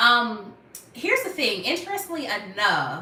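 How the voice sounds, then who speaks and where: A woman speaks at a fairly slow pace in a raised, projected voice, with noticeable background noise and audible room echo. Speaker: YouTuber on natural hair care. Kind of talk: live stream Q&A. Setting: live stream at home. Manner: casual, chatty.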